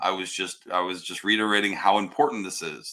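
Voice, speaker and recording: Loud and bright with a sharp tone, a man speaks at a moderate pace in a very deep, low pitch. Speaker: podcast co-host. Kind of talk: casual chat.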